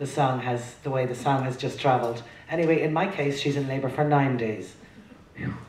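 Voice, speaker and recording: Fairly even intonation in an Irish accent, with audible room echo and noticeable background noise. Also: woman, very deep, low pitch for a woman, fairly quick pace. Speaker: traditional singer. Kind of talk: introducing songs at a live performance. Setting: stage with audience.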